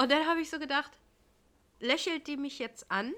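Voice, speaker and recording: A woman speaks in a raised, projected voice with a bright, sharp tone. Her intonation is lively, and the recording is very clean with a silent background. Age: 30s. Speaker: podcast co-host, daycare worker. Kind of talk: casual chat.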